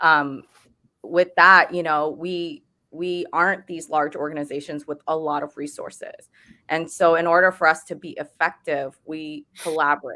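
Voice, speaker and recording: Speaking in an American accent, a woman with a fairly low pitch and a bright, sharp tone talks at a moderate pace in a monotone, flat delivery with big swings in loudness, recorded very cleanly against a silent background. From Texas. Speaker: lawyer. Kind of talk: virtual roundtable discussion.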